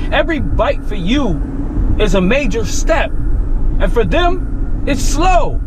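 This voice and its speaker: Noticeable background noise sits behind a man's speech. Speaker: gym vlogger. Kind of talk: angry rant. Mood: emphatic, motivational, irritated. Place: car. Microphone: phone near.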